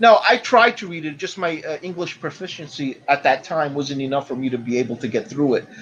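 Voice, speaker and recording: A man with a fairly high pitch and lively intonation, at a fairly quick pace with hardly any pauses. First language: not English. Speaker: podcast co-host. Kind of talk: casual chat.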